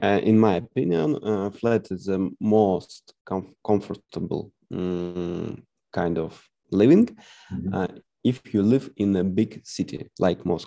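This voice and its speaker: Against a quiet background, a man with a Russian accent speaks fairly slowly in a dark, mellow tone, his fairly low pitch showing ordinary variation. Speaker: English language student. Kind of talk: online English lesson conversation. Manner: halting, many hesitations.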